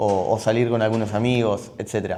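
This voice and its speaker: A man with a Rioplatense accent, a dark, mellow tone, monotone, flat intonation and a fairly quick pace. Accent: Argentine Rioplatense Spanish. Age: 30s. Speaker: entrepreneur, gym and supplement store owner. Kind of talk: personal life story monologue. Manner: halting, many fillers and repetitions.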